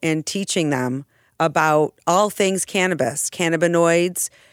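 In a very clean recording with a silent background and a dry, close sound with no echo, a woman speaks at a moderate pace in an energetic, animated tone, with fairly low pitch and ordinary pitch variation. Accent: American. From western New York. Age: 50s. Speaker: former teacher, cannabis industry advocate. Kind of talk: casual interview chat. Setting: studio.

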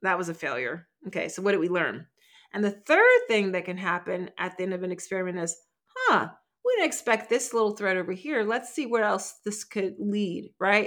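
A woman with an American accent, animated tone, moderate pace and medium pitch. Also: ordinary pitch variation. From Philadelphia, US. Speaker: creativity strategist. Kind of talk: interview conversation.

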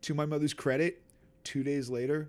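A man with an American accent talks at a moderate pace. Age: 40s. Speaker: hardcore band bassist and singer. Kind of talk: casual chat. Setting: in person. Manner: animated, with impressions.

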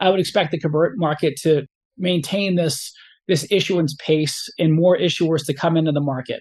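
Against a quiet background, a man with an American accent and a high pitch talks at a moderate pace with ordinary pitch variation. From Rhode Island, US New England. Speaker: senior portfolio manager. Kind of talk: interview.

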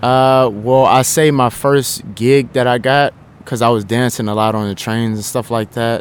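A man with an American accent and a normal speaking voice talks at a moderate pace, his medium pitch held in fairly even intonation. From Indiana, Indianapolis. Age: 20s. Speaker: aspiring actor and dancer. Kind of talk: interview. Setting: drop-in center.

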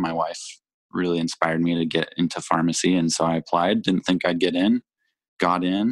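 A man with an American accent speaks at a moderate pace in a very deep, low pitch. The recording is very clean with a silent background and a dry, close sound with no echo. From Utah. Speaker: pharmacy student and podcaster. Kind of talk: casual interview chat. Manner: hesitant, many fillers.

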